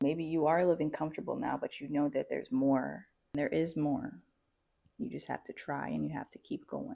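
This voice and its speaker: Soft-spoken, a woman talks at a moderate pace. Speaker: vlogger and aspiring entrepreneur. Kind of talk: motivational vlog talk. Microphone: new mic, first recording.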